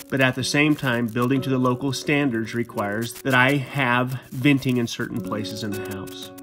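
With music in the background, the speech goes at a moderate pace with hardly any pauses and ordinary pitch variation. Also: man. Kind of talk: explanatory DIY narration.

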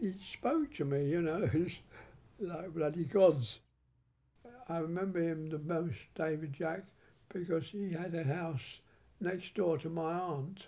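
The pace is fairly slow. Long, frequent pauses break up the speech. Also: man, high pitch for a man, ordinary pitch variation. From England. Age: 80s+. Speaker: film director. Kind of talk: interview answer. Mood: warm nostalgic reminiscing. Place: home room.

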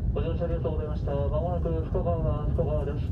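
A man rattles along at a very fast pace amid loud background noise. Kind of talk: station announcement.

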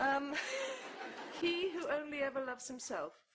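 Against noticeable background noise, a woman talks at a fairly slow pace with ordinary pitch variation. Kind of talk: scripted comedy dialogue. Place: home room.

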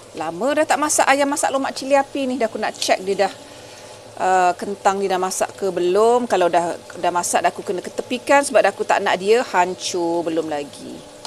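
A woman at a medium pitch swings her voice very widely up and down, speaking at a moderate pace over light background noise. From Negeri Sembilan, Malaysia. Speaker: cooking vlogger. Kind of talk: cooking tutorial. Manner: casual, chatty. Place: kitchen. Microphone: phone near.

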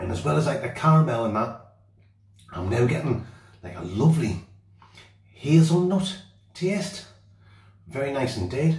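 The speech moves at a moderate pace with long, frequent pauses. Music plays in the background, and room echo is audible. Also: man. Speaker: outdoor vlogger. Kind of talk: casual vlog chat. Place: bathroom. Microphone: phone near.

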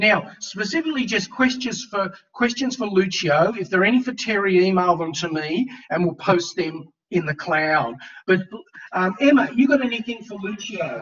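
A high-pitched man talks at a moderate pace with lively intonation and an Australian accent. The background is quiet. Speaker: university lecturer. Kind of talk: class moderation. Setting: video call. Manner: casual. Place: home room. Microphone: webcam.

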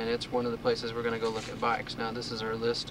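Noticeable background noise runs behind a man's voice. The sound is dry, with no echo. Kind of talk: casual commentary. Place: car. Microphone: old recording.

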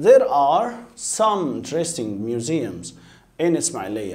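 A man with an Egyptian accent speaks at a moderate pace, his fairly high pitch carrying a dark, mellow tone. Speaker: English teacher. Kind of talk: lecture. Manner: repetitive, drilling pronunciation. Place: studio.

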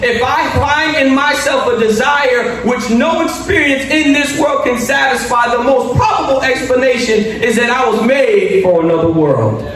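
The speech runs with hardly any pauses, with audible room echo and light background noise. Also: man, extremely high pitch for a man, moderate pace. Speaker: pastor. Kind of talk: sermon. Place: church. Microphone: podium.

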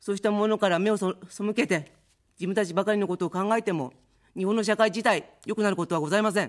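A woman talking at a very fast pace with ordinary pitch variation, set against a quiet background. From Japan, Chiba Prefecture; Japan. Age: 50s. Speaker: political candidate; candidate. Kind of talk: campaign speech. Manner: formal. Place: studio. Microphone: studio mic.

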